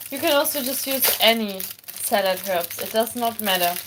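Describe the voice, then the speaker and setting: A woman with a German accent, her fairly high voice full of lively intonation, over noticeable background noise. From Germany. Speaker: armwrestler and streamer. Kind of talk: live-streamed cooking tutorial. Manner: casual, chatty.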